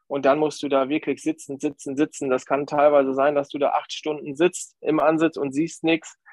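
Barely pausing, a man speaks at a moderate pace in a fairly high, monotone voice, recorded dry and close with no echo. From Lower Saxony, Grafschaft Bentheim near Dutch border. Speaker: nature photographer. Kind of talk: podcast interview. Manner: hesitant, many fillers.

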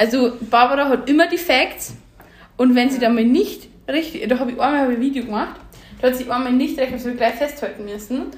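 Speaking in a Bavarian accent, a woman talks at a fairly quick pace. Her pitch is high, with ordinary variation. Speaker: podcast co-host. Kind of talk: casual chat. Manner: laughs often.

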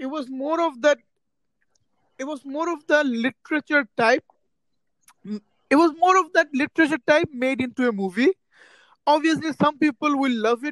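In a Bengali accent, the speaker keeps a moderate pace but takes long, frequent pauses. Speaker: podcast co-host. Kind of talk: casual chat.

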